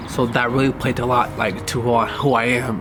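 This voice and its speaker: With music in the background, a man speaks at a moderate pace and medium pitch in monotone, flat intonation. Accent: Californian. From US West Coast, Inglewood, California. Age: 20s. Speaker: filmmaker telling own life story. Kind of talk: personal life-story documentary monologue. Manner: hesitant, many fillers.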